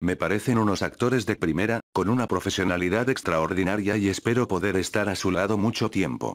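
With a Spanish accent, a man speaks at a fairly low pitch with ordinary pitch variation, very even loudness and hardly any pauses, in a very clean recording with a silent background. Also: fairly quick pace. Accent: Spanish (Spain). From Spain. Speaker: actor. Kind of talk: interview answer.

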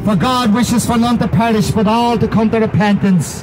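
A man speaks with an Irish accent. Noticeable background noise can be heard. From Ireland. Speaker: street preacher. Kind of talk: street preaching sermon. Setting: outdoors. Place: street. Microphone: handheld.

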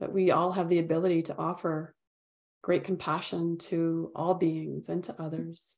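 A woman speaks in a fairly low, monotone, flat voice. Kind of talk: guided meditation. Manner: calm, gentle, unhurried.

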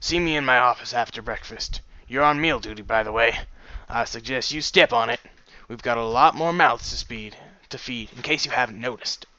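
Gruff and fairly quick, this put-on character voice shows big swings in loudness. Its pitch varies in an ordinary way. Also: man, medium pitch for a man. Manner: stoic, curt.

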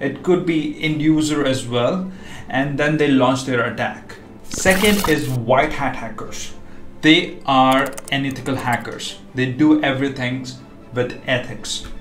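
A man at a fairly slow pace with ordinary pitch variation, audible room echo, and faint music in the background. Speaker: cybersecurity educator. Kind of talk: tutorial. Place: home room.

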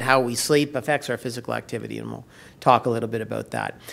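In a Canadian accent, a man speaks very fast with a bright, sharp tone and vocal fry. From Canada. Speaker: health researcher; presenter. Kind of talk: conference presentation. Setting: stage with audience. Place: hall. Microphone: podium.

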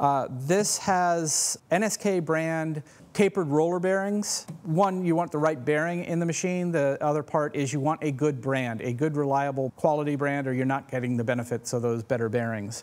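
A man speaks at a moderate pace with hardly any pauses and ordinary pitch variation. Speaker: presenter. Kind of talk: product walkthrough. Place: shop. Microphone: lapel.

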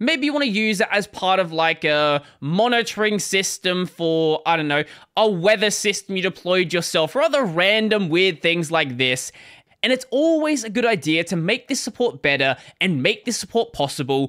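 Against a quiet background, a man with a bright, sharp tone talks at a moderate pace, his pitch swinging very widely. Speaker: tech channel host. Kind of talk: commentary. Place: home room. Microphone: studio mic.

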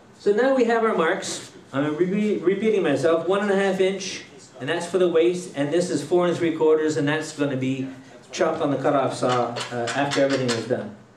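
In a Quebec accent, a man talks at a fairly quick pace with a fairly high pitch and lively intonation. Light background noise and audible room echo are present. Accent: Québécois French accent in English. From Quebec, Trois-Rivières. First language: French. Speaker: woodturner giving a demo. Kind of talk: live demonstration to a club audience; joke telling. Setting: room with a live audience. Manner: hesitant, many fillers. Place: hall. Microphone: headset.

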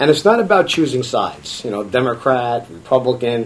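With an American accent, a man talks at a moderate pace. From New York. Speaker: political candidate and business owner; candidate. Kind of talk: campaign interview. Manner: halting, many fillers. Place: meeting room. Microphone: camera far.

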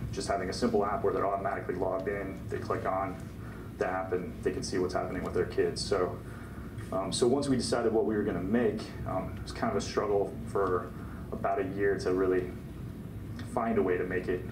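Noticeable background noise sits under the speech. The pace is fairly quick, with ordinary pitch variation. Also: man, fairly low pitch for a man. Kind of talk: informal talk to a small audience. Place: meeting room.

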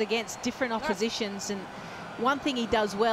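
Enthusiastic and fairly high-pitched, a woman talks at a fairly quick pace. Noticeable background noise can be heard. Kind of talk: cricket commentary with analysis. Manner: conversational, chatty, enthusiastic.

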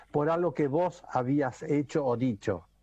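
A man with a fairly high pitch and a dark, mellow tone speaks at a fairly slow pace with lively intonation. The sound is dry with no echo over a quiet background. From Argentina. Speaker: actor and comedian; actor, comedian. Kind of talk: casual chat. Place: home room. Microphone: video call.

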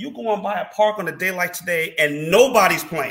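A man with an American accent uses a raised, projected voice with lively intonation and a bright, sharp tone against a quiet background. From Chicago suburbs (La Grange); Illinois. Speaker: former college basketball player; podcast guest. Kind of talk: casual interview chat. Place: home room.

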